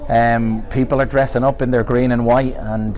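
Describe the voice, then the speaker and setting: Noticeable background noise and audible room echo around a male speaker. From Ireland, Dublin. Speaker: pub owner. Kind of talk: casual interview.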